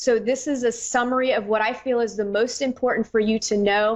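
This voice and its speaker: Her pitch is on the fairly high side for a woman. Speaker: psychic radio host. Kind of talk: radio show monologue. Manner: fast.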